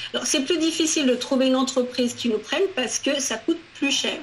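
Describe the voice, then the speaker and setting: Fairly quick speech with lively intonation and noticeable background noise. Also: woman. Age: 40s. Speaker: career coach. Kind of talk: interview.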